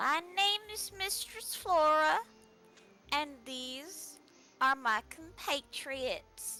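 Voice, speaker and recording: Against clear background music, a woman uses a put-on character voice, high-pitched and very slow. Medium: actual play. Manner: cheerful, whimsical.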